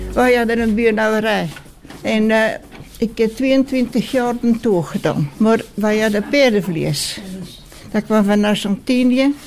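Noticeable background noise sits under a woman's fairly high voice, which moves at a very slow pace with ordinary pitch variation and very even loudness. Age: 90s. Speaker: care home resident. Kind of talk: interview. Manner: halting.

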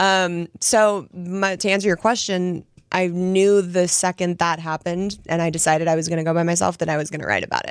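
A woman with a normal speaking voice, fairly low-pitched, at a fairly quick pace with fairly even intonation and hardly any pauses. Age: 30s. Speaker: guest sharing divorce story. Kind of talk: casual chat.

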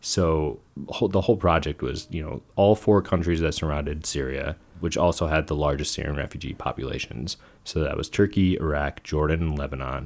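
With an American accent and some vocal fry, this voice moves at a moderate pace with ordinary pitch variation over a very clean recording with a silent background. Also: man. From New Jersey, US. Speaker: photojournalist. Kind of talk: casual chat.

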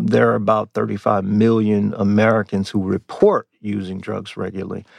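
Fairly low-pitched male voice, an unremarkable speaking voice, moderate pace and fairly even intonation. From US. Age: 50s. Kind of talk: interview.

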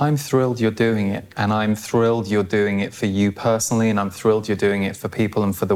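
A man speaks with an English accent at a fairly low pitch. His intonation is monotone and flat. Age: 40s. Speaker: podcast host. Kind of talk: casual interview.

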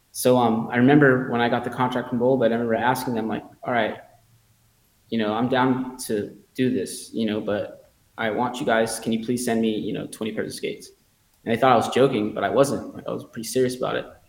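A man with an American accent, medium-pitched and flat in a monotone, at a fairly quick pace amid audible room echo. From Los Angeles area, California. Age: 40s. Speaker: pro rollerblader. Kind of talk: interview, personal storytelling.

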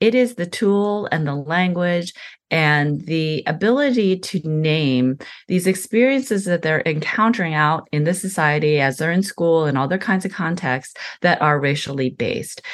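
A woman with an American accent uses a normal speaking voice at a fairly low pitch and a moderate pace. Her intonation is lively, and the background is quiet. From US, raised in an adoptive American family (born in South Korea). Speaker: professor of social work. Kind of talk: interview.

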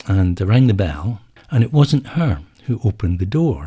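With an Edinburgh accent, a man speaks at a moderate pace in a fairly low, somewhat breathy voice with a dark, mellow tone and very wide pitch swings. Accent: Scottish (Edinburgh). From Scotland (Edinburgh). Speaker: book editor. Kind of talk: interview. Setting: studio.

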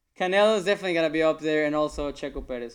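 A man speaks with ordinary pitch variation. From Reynosa, Mexico. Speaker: professional golfer. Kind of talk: casual interview.

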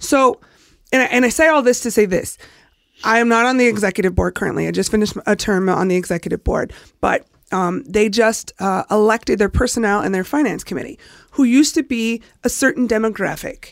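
Her intonation is lively. This woman's pitch sits fairly high. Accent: American. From California, San Jose / Bay Area. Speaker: local party organizer. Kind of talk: casual chat.

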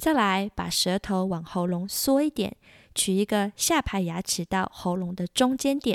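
A warm voice with a Taiwanese accent speaks at a fairly slow pace with lively intonation, recorded very cleanly with a dry, close sound, no echo, and a silent background. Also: woman, medium pitch for a woman. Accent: Taiwanese Mandarin. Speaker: podcast host, French tutor. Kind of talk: language lesson. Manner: warm, encouraging.

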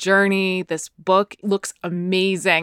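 An ordinary speaking voice from a woman with an American accent, medium pitch and a fairly slow pace, the sound dry and close with no echo. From USA. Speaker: podcast co-host. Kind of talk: interview.

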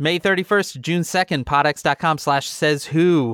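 A man's fairly high voice, fairly bright with a clear, smooth tone, at a fairly slow pace with ordinary pitch variation, in a dry, close recording with no echo

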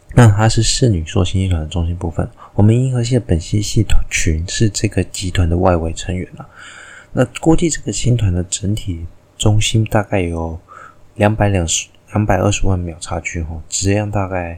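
A man speaks softly with a fairly low pitch. His voice is somewhat breathy and his pace is moderate. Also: ordinary pitch variation. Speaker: astronomy and mythology podcast host. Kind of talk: solo storytelling and explainer. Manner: soft-spoken.

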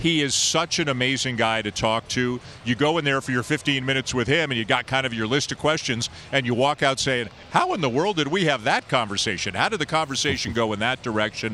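A man talks in an unremarkable speaking voice. His pitch sits in the medium range. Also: ordinary pitch variation, fairly quick pace. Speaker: baseball play-by-play broadcaster. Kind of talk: casual sports interview. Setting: remote call with echo.

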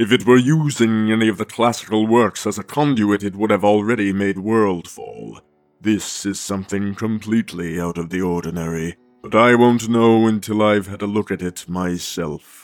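The tone is calm. Faint music plays in the background. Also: man, fairly low pitch for a man, moderate pace. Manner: calm, authoritative, persuasive.

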